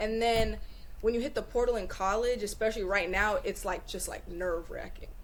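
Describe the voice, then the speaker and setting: A fairly quick-paced woman with an American accent, with audible room echo. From Northern California (Bay Area). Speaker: college track athlete. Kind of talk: podcast interview.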